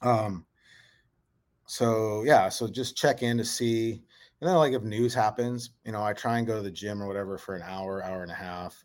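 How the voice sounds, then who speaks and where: A normal speaking voice from a man with an American accent, fairly low in pitch, with ordinary pitch variation, big swings in loudness and a moderate pace. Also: very clean recording, silent background. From north central Montana. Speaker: sports journalist. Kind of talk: casual interview.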